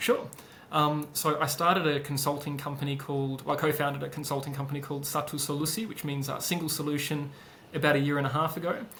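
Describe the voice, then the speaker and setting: Talking at a very fast pace in a fairly high pitch, a man keeps a monotone, flat intonation amid audible room echo. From Australia (Perth). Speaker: business consultant and founder. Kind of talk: interview. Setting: podcast. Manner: hesitant, many fillers.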